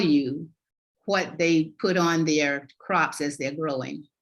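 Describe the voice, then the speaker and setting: A woman speaks with a Southern US accent. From US South, North Carolina. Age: 70s. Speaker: health and wellness coach. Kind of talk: interview chat.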